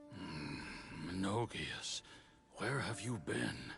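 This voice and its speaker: A man puts on a raspy character voice, pitched fairly low, with very wide swings in pitch. He speaks very slowly over clear background noise. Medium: video game.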